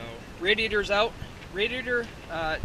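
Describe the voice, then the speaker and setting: Loud background noise fills the recording of a man speaking. The sound is dry with no echo. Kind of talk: casual vlog walkthrough. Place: open country. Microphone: phone near.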